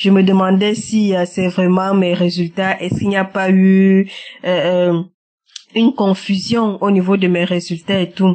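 Speaking at a fairly slow pace, a woman has a slightly mellow tone. Her pitch moves very little. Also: medium pitch for a woman.

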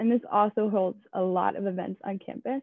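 A woman with an American accent and a medium pitch uses a plain, everyday voice at a fairly quick pace, the sound dry with no echo and the background quiet. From southeastern Pennsylvania, Downingtown; Pennsylvania. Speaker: student tour guide. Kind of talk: guided campus tour. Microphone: webcam.

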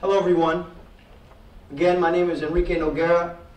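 High male voice in an American accent, very fast and monotone, flat in intonation, with audible room echo. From Trinidad and Tobago. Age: 20s. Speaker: college program administrator and guest speaker. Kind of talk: speech. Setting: stage with audience. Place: classroom. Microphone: camera far.

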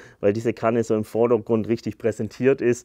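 A man talks at a fairly quick pace with a medium pitch. The sound is dry with no echo, and the background is quiet. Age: 30s. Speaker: YouTuber presenting carnivorous plants. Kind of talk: casual video presentation. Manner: casual, filler-heavy. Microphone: lapel.

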